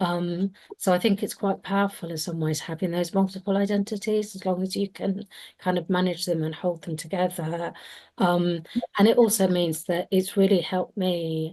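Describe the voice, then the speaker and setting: A woman with a British accent talks at a moderate pace, her medium-pitched voice fairly even in intonation. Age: 50s. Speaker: panelist, advocate. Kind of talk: panel discussion. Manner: hesitant, many fillers.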